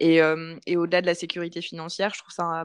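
Against a quiet background, a woman with a fairly low pitch speaks at a moderate pace. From France, Paris. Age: 30s. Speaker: freelance communications consultant and coach. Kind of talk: casual interview chat.

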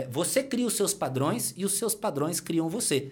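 A man speaks in an energetic tone at a high pitch. His pitch swings are very wide. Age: 40s. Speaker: personal trainer and entrepreneur. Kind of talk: casual interview chat.

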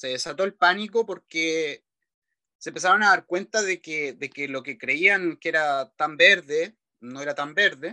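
The man's voice is high-pitched with a bright, sharp tone, recorded dry and close with no echo. He keeps a moderate pace while his loudness swings widely. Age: 30s. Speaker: economist. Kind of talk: interview. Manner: halting, many repetitions.

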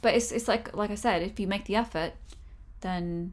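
Vocal fry runs through this woman's voice. She talks at a fairly quick pace with ordinary pitch variation. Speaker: podcast and YouTube co-host. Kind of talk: casual conversational podcast.

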